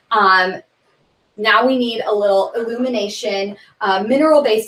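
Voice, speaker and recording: The pace here is fairly slow. It is an ordinary speaking voice. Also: woman. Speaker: skincare brand presenter. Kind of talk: product demonstration. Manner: casual, filler-heavy.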